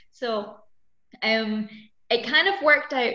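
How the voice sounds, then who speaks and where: In a Scottish accent, a woman speaks in a bright, sharp tone with ordinary pitch variation. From Scotland. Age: 20s. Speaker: mountain bike racer. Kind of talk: interview.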